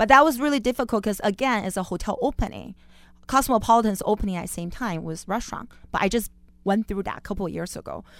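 Speaking at a very fast pace, a woman with a Chinese accent uses a fairly high pitch with ordinary pitch variation. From Beijing, China. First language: Mandarin Chinese. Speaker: chef. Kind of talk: interview. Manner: laughs often.

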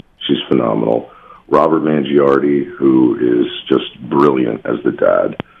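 There is noticeable background noise as a man talks at a fairly slow pace. He has an American accent. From New Jersey. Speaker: actor. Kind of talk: casual radio interview.

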